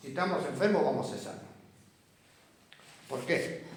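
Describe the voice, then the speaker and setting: A man speaks over noticeable background noise, with audible echo from the room. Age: 70s. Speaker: Bible study teacher. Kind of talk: Bible class discussion.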